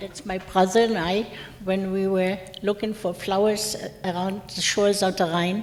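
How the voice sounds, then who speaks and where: Noticeable background noise sits under this recording. A woman talks at a moderate pace in a medium pitch. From Germany (Mainz). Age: 70s. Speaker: war survivor speaker.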